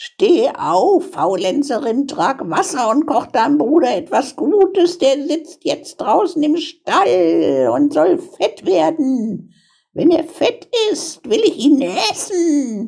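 The speaker puts on a high-pitched character voice. The pace is very slow. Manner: harsh, commanding, calling out.

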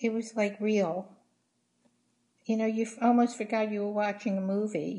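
Speaking at a moderate pace with long, frequent pauses, a woman with a fairly high pitch uses fairly even intonation in a somewhat breathy voice with a dark, mellow tone. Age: 70s. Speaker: interviewed mother. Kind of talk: interview answer. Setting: video call. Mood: chatty, opinionated. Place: home room. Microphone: video call.

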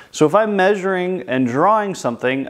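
Against a quiet background, a man speaks. His intonation is lively. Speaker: art teacher. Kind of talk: tutorial. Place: classroom. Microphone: lapel.

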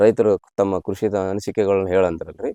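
In a dry, close recording with no echo, a man speaks with fairly low pitch and a dark, mellow tone. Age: 60s. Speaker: farmer. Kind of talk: interview.

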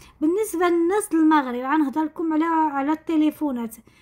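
A moderate pace and ordinary pitch variation against a quiet background. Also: woman. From Morocco, Tangier; Morocco. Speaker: lifestyle vlogger. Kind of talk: casual vlog narration. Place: kitchen.

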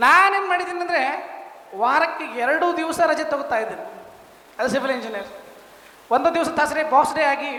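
Over noticeable background noise and audible room echo, a man uses a raised, projected voice at an extremely high pitch with ordinary pitch variation. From India, Bijapur, northern Karnataka. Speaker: construction business owner, civil engineer. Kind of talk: testimonial speech.

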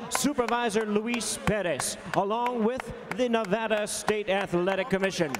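A man with a high pitch and an American accent, at a moderate pace with ordinary pitch variation, over noticeable background noise. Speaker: ring announcer. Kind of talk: formal ring announcements. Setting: arena PA system. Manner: formal.

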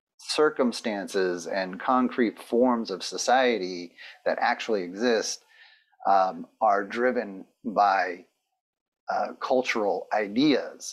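A man speaking at a very slow pace against a quiet background. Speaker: lecturer. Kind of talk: lecture. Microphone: webcam.

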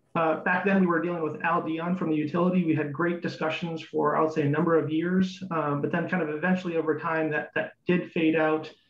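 Fairly quick, monotone, flat delivery with hardly any pauses, music in the background and audible room echo. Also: man, high pitch for a man. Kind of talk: public comment presentation. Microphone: video call.

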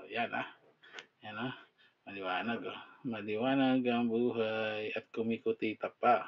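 A man speaks at a fairly slow pace with long, frequent pauses. His intonation is monotone and flat. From Philippines. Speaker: product reviewer. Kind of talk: casual product review. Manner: halting. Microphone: phone near.

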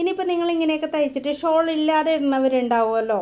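A woman speaks with ordinary pitch variation. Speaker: tailoring teacher. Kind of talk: tutorial. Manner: casual, conversational.

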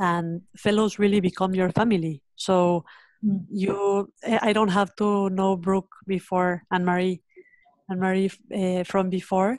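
In a Spanish accent, a woman talks at a fairly slow pace with monotone, flat intonation and very even loudness. The background is quiet and the sound is dry, with no echo. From Mexico. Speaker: education nonprofit founder. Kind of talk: webinar panel conversation. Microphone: video call.

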